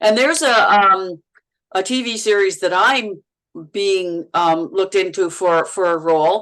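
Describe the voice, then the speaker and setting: At a fairly slow pace, a woman with a Manitoba accent talks with ordinary pitch variation. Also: medium pitch for a woman. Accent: Manitoba accent, sounds Minnesotan. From Manitoba, Canada. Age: 60s. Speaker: actress. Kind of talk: casual chat. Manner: halting, repeats words.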